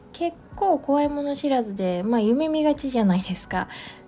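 With very wide pitch swings, a woman talks at a moderate speed over noticeable background noise. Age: 30s. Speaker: food artist and podcaster. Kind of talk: solo podcast monologue. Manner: casual, with many fillers.

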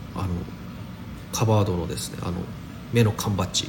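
A man talks at a moderate pace in a fairly low pitch. Noticeable background noise and audible room echo are present. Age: 30s. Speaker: daily podcaster. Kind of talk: casual solo talk. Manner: casual, many fillers.

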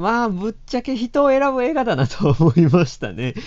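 This man's pitch swings very widely as he talks. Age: 30s. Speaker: film writer. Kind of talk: solo podcast monologue.

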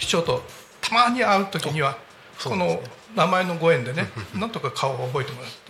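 A man's high-pitched voice at a fairly quick pace, with very wide pitch swings, big swings in loudness, long, frequent pauses and noticeable background noise. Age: 70s. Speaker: amateur flutist. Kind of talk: casual chat.

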